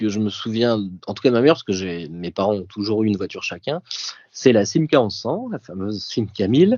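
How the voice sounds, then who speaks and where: Speaking fairly quickly, a man uses a fairly low pitch and lively intonation. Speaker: podcast guest, print production manager. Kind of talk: casual interview, personal recollection. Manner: hesitant, many fillers.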